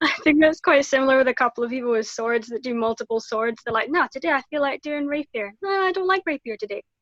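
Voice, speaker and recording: A woman speaks quickly in a Glasgow accent, her voice high-pitched with lively intonation. The sound is dry and close, with no echo. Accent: Scottish (Glasgow). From Scotland, Glasgow. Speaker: martial arts practitioner. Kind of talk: casual chat.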